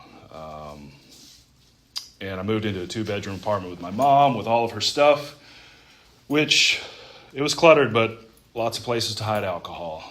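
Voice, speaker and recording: Moderate-paced speech in an American accent, with big swings in loudness, long, frequent pauses and noticeable background noise. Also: man. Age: 30s. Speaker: recovering alcoholic speaker. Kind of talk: testimony. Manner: halting.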